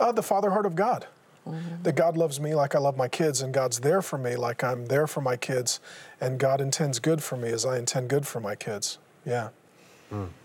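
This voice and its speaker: A man with a medium-pitched, somewhat breathy voice speaks at a fairly quick pace with lively intonation. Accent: American. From US Pacific Northwest (Seattle). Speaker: former pastor. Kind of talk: interview testimony.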